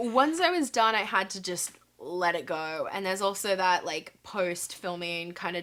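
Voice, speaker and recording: This woman has an Australian accent. Her pitch sits in the medium range. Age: 20s. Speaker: actress. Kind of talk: interview answer. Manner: casual, friendly.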